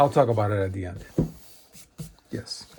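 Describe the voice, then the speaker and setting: Noticeable background noise fills the recording. A man speaks through it. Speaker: math self-study video creator. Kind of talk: casual book review. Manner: halting with fillers.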